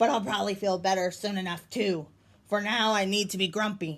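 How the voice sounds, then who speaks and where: Using a put-on character voice at medium pitch, a woman speaks at a fairly quick pace with fairly even intonation. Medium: read story. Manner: grumpy, insistent.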